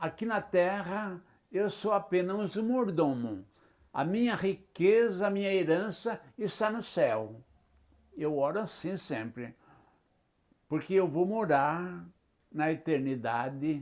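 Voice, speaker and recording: Using a high pitch and lively intonation, a man speaks very slowly with long, frequent pauses. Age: 80s+. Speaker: retired pastor. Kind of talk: interview. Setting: at his home.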